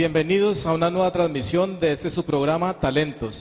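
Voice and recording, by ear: A man's fairly high voice, slightly mellow in tone, with fairly even intonation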